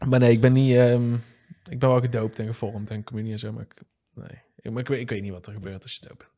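This man talks very fast in a medium-pitched voice with a dark, mellow tone and fairly even intonation. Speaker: podcast host and filmmaker. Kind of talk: casual chat. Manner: halting.

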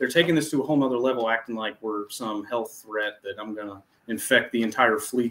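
A man speaks with ordinary pitch variation. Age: 20s. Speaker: Navy veteran. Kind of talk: interview.

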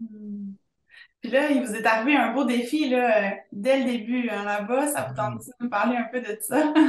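The speech comes at a fairly slow pace with ordinary pitch variation. Room echo is audible. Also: woman, fairly high pitch for a woman. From Quebec. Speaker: podcast host. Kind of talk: casual chat. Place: home room. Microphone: video call.

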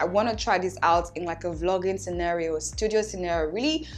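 Faint music plays in the background. Over it, a woman talks at a very fast pace. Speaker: content creator. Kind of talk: product review vlog. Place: home room.

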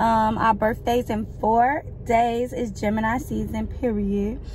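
Over light background noise, a woman speaks at a fairly slow pace in a monotone, flat intonation, the sound dry with no echo. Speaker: vlogger. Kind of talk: casual vlog chat. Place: car.

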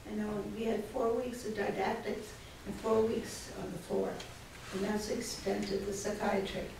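A woman with an American accent speaks at a fairly high pitch and a moderate pace, with flat, monotone intonation. Noticeable background noise and audible room echo are present. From Maine, US. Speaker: retired psychiatrist. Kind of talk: lecture. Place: classroom. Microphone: camera far.

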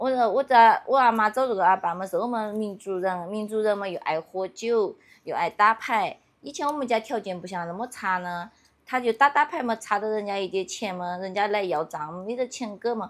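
A woman's fairly high voice in a Yunnan accent, at a moderate pace with ordinary pitch variation. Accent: Yunnan dialect-accented Mandarin. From Yunnan, China. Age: 30s. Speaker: villager. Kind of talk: casual chat. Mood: calm, reflective, slightly sad. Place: open country. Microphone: phone near.

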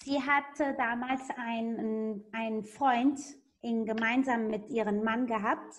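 A woman's fairly high voice at a very slow pace, with fairly even intonation. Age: 30s. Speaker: network marketing presenter and interpreter; presenter. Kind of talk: sales pitch. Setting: video call. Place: home room. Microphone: video call.

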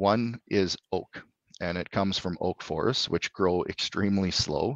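A man with a Canadian accent, very deep and low in pitch, with ordinary pitch variation, a dry sound with no echo and a quiet background. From Alberta, Canada. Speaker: clean tech company CEO; guest. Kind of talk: interview. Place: home room. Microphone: video call.

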